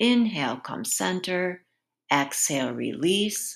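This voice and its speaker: A woman talks very slowly at a very deep, low pitch, with very wide pitch swings and vocal fry. The recording is very clean, with a silent background. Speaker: yoga instructor. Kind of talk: guided movement class. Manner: brisk, directive; rhythmic, energetic cueing.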